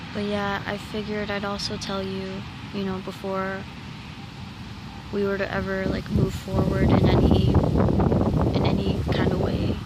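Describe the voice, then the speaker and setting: Someone soft-spoken talks at a fairly slow pace against noticeable background noise. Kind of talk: soft-spoken roleplay talking to a partner (ASMR-style). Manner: soft-spoken, quiet, hesitant.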